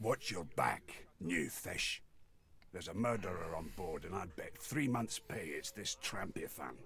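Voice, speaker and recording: Using a gruff, put-on character voice, a man speaks at a very deep, low pitch with lively intonation and a moderate pace. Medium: video game. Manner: curt, gruff, hostile.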